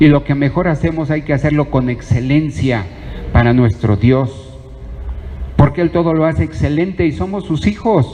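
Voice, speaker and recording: A fairly high-pitched man with lively intonation at a moderate pace, over noticeable background noise. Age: 60s. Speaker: preacher. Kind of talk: sermon.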